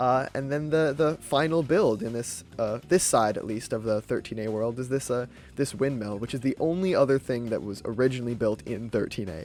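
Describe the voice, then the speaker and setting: Fairly quick delivery with lively intonation and hardly any pauses. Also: man, medium pitch for a man. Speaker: gaming YouTuber. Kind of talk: gameplay commentary. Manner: fast; halting, many fillers and repeats.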